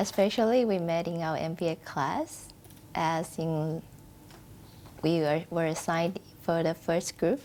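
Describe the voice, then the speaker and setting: Speaking with a non-native accent, a woman uses a fairly low pitch and a fairly slow pace, with ordinary pitch variation and long, frequent pauses. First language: not English. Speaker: bride. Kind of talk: interview.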